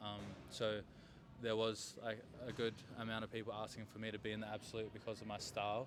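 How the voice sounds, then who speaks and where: With an Australian accent, a man talks at a fairly quick pace in a fairly low, flat, monotone pitch while music plays in the background. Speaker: grappling athlete. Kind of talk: interview.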